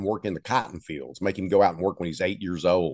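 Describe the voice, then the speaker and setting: With an East Texas accent, a man speaks against a quiet background. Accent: East Texas Southern drawl. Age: 70s. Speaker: novelist. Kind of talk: interview storytelling.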